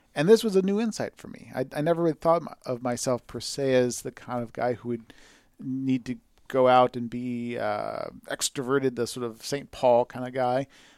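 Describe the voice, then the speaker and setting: Moderate pace in a Californian accent, with ordinary pitch variation and big swings in loudness, in a very clean recording with a silent background and a dry, close sound with no echo. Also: man, medium pitch for a man. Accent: Californian American. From Southern California, San Fernando Valley. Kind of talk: casual chat.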